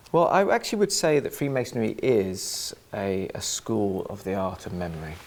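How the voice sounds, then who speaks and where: This man talks at a moderate pace with an English accent. He leaves hardly any pauses. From England. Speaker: author and freemason. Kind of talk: interview. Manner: halting.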